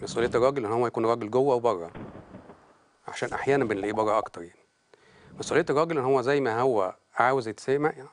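Speaking at a very fast pace, a man still leaves long, frequent pauses. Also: ordinary pitch variation. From Egypt. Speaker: family counselor; talk show guest. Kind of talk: TV interview, counseling advice. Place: studio. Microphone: lapel.

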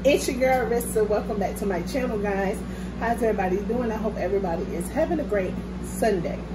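Loud background noise fills the clip. A woman talks at a very fast pace. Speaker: mukbang vlogger. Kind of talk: casual vlog chat. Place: home room. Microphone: phone near.

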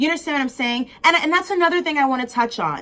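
A woman with a high pitch raises and projects her voice in a passionate, animated tone. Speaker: vlogger. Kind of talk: angry rant. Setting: video to camera. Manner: fast, emphatic, indignant.

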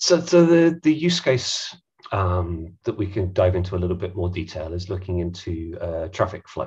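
The talker is a man. He keeps a moderate pace against a quiet background. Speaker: head of data at tech company; presenter. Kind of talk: webinar presentation. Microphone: headset.

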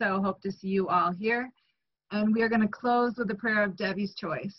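A woman with a fairly high pitch uses an ordinary speaking voice and fairly even intonation. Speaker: meeting host. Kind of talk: meeting chair remarks. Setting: video call.

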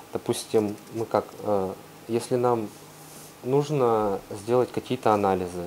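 Amid light background noise, a man speaks at a fairly low pitch and fairly slow pace with ordinary pitch variation. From Russia. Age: young. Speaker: volcanologist. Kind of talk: guest talk and Q&A answers. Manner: hesitant, casual. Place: classroom. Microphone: lapel.

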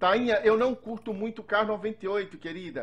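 A man talks at a moderate pace in an animated tone. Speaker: gaming youtuber. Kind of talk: gameplay commentary.

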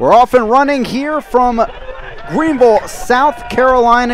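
The audio carries light background noise and a dry sound with no echo. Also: man. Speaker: play-by-play commentator. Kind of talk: live sports commentary. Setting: stadium broadcast. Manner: clipped, urgent delivery.

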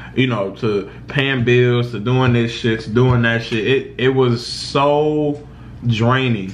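At a fairly slow pace, a man speaks with ordinary pitch variation over light background noise. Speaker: vlogger. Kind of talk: personal storytelling vlog. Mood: serious, reflective about depression. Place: kitchen. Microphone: phone near.

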